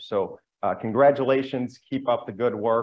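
Here a man talks with an American accent. His pace is moderate and his intonation fairly even. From Chicago. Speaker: city council member. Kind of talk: formal council proceedings. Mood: congratulatory, warm. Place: hall. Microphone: podium.

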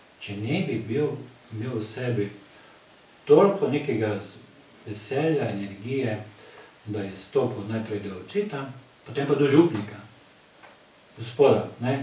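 The speaker uses lively intonation and big swings in loudness, with audible room echo and noticeable background noise. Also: man, medium pitch for a man. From Slovenia, Zreče area. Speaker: cultural society member. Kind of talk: casual chat.

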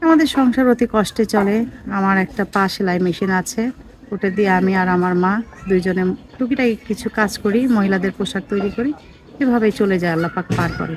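A woman's voice at a medium pitch comes through noticeable background noise. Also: ordinary pitch variation. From Bangladesh, Naogaon (Rajshahi). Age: 30s. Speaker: widow seeking marriage. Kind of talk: interview.

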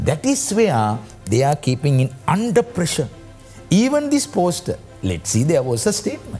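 A man's voice over faint music in the background. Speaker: guest. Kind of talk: interview answer. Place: studio. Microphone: lapel.

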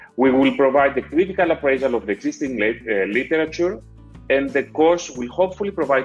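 The man's voice rises and falls in an ordinary way. Music sits faintly behind him. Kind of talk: event announcement. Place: office. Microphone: earbuds.

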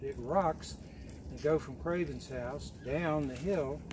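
Noticeable background noise can be heard as a man talks. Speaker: hike guide telling local history. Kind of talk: informal historical talk to a group. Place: forest.

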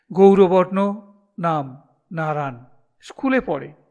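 The clip is plain reading aloud, with a quiet background behind it.

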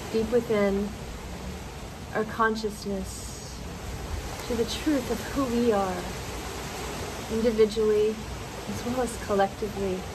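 The voice is monotone and flat at a fairly slow pace, with long, frequent pauses. Noticeable background noise runs underneath. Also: woman, fairly high pitch for a woman. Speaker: meditation guide. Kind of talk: guided meditation. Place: garden.

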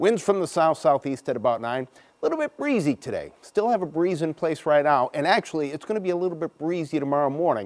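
With an American accent, a man speaks very fast and swings his pitch very widely. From Chicago. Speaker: TV meteorologist. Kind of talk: weather forecast. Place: studio.

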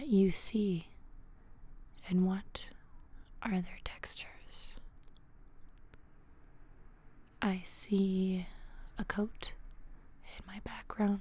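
A soft-spoken woman's somewhat breathy voice, gentle in tone, monotone and flat in intonation, with long, frequent pauses, in a dry sound with no echo. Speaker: ASMR creator. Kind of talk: soft calming guided talk. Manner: soft-spoken, gentle, slow ASMR voice. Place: home room. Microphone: studio mic.

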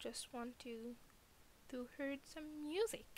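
This woman speaks with a non-native accent. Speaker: gamer. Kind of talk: casual let's play commentary.

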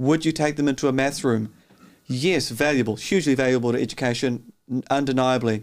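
Over a quiet background, a man speaks at a fairly quick pace with fairly even intonation and very even loudness. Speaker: teacher. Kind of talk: interview answer. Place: studio. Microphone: studio mic.

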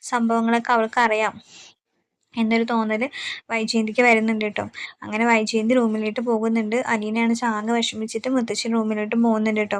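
A woman speaks with fairly high pitch. Her intonation is flat and monotone. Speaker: TV serial story narrator. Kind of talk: casual retelling of a TV serial plot.

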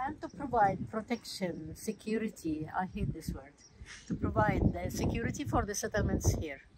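The speaker has an Arabic accent and very wide pitch swings. Noticeable background noise is present. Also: woman, medium pitch for a woman, moderate pace. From Palestine, Hebron. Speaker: local tour guide. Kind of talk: guided walking tour. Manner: halting, many fillers.

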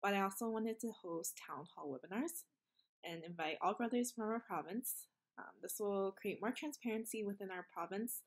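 A woman talks at a moderate pace. Her intonation is lively. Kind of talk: casual introduction message. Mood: warm, a bit nervous, laughing. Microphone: webcam.

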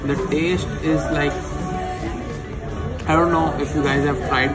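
Speech at a moderate pace over loud background music. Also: man. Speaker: food vlogger. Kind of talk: casual vlog chat. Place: cafe. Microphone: phone near.

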